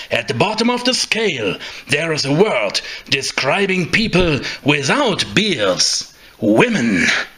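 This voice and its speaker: A man speaks at a fairly slow pace in a high voice, his pitch swinging very widely, with noticeable background noise behind him. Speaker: narrator. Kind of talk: mockumentary narration.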